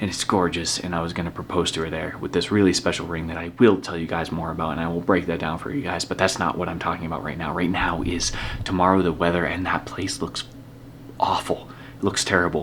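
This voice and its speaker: A man with a very deep, low pitch talks at a very fast pace with fairly even intonation amid noticeable background noise. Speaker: vlogger. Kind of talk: vlog.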